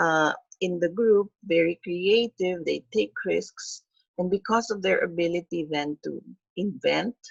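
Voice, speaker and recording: Dry and close with no echo, a woman with an ordinary speaking voice talks at a fairly slow pace, her pitch fairly low with ordinary variation. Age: 60s. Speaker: webinar lecturer. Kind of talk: webinar lecture.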